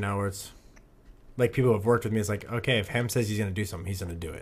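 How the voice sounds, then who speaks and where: A man speaks in a somewhat breathy, fairly low voice with fairly even intonation. The recording is very clean, with a silent background. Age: 20s. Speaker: podcast co-host. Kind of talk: casual chat.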